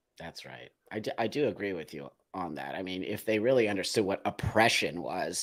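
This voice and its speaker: A man's normal speaking voice with an American accent, fairly low in pitch, with lively intonation, a fairly quick pace and big swings in loudness, on a very clean recording with a silent background. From New York. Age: 60s. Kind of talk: casual chat. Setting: live show.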